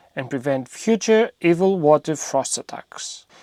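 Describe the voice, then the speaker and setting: In a Greek accent, a man talks at a high pitch with very wide pitch swings. The sound is dry and close with no echo, and the recording is very clean with a silent background. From Greece. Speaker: DIY home renovation youtuber. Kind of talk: scripted narration. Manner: humorous, conversational.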